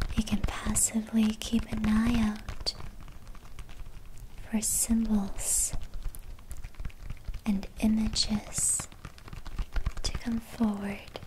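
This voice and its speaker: Soft-spoken whispering moves at a very slow pace with long, frequent pauses. Light background noise sits underneath. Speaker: meditation guide. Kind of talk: guided meditation. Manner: whispered; soft-spoken, slow. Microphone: studio mic.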